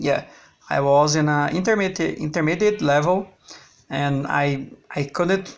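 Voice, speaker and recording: Speaking at a fairly slow pace, a man has a Brazilian Portuguese accent. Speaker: language learner vlogger. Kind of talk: personal video diary. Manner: halting, with frequent repetitions.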